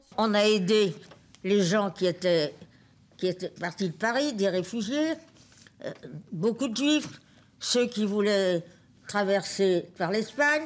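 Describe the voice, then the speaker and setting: A woman with a medium pitch talks at a very slow pace, leaving long, frequent pauses. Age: 90s. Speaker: resistance veteran. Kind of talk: testimony to students.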